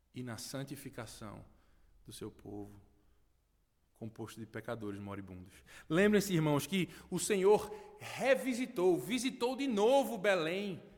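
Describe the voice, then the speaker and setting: His pitch swings very widely as this man speaks at a fairly slow pace. He has a northeastern Brazilian accent. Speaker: pastor. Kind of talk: sermon. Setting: church.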